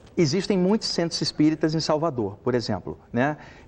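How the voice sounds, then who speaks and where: Talking at a fairly quick pace with lively intonation, a man with a fairly high pitch has an unremarkable speaking voice. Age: 40s. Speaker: medium and spiritual author. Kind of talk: TV talk show interview.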